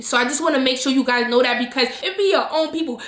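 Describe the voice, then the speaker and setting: Using a raised, projected voice at a high pitch, a woman speaks with ordinary pitch variation over noticeable background noise and audible room echo. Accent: New York. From New York. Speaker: travel vlogger. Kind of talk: casual vlog talk to camera. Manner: animated.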